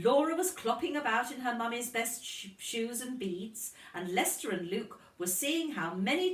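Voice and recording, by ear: A woman with lively intonation at a fairly slow pace, audible room echo around her. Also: fairly bright tone.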